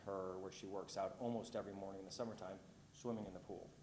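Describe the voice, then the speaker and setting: Audible room echo surrounds a man's voice. He speaks at a fairly low pitch with monotone, flat intonation. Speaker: homeowner applicant. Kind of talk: public hearing testimony. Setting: city planning commission meeting. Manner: loud.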